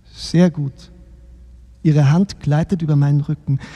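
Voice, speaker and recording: Recorded dry and close with no echo, a man speaks at a fairly slow pace in a somewhat breathy, fairly high voice with a dark, mellow tone. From Baden-Württemberg, Germany. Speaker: novelist reading his own book.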